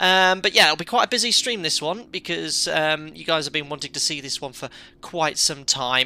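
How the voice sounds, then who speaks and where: A man with a British accent, fairly high pitch and ordinary pitch variation, bright and sharp in tone, with big swings in loudness, on a very clean recording with a silent background. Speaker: airline pilot and flight sim streamer. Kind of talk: live stream commentary. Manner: fast.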